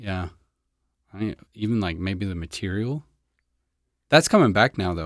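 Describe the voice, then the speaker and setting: A man with an American accent speaks at a fairly slow pace with ordinary pitch variation, big swings in loudness and long, frequent pauses, on a very clean recording with a silent background. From Florida (Clearwater). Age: 30s. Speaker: podcast host. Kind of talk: casual chat.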